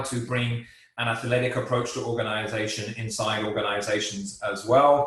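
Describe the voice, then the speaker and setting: In an English accent, the speaker keeps a moderate pace amid audible room echo. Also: man. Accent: English accent, kept despite years abroad. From England. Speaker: business professor. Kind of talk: webinar lecture. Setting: online webinar.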